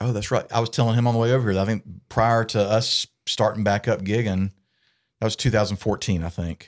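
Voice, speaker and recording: Fairly quick and fairly even in intonation, a man with a Southern US accent speaks at medium pitch, the sound dry and close with no echo. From US South, south Georgia (Valdosta). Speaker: musician. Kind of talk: casual chat.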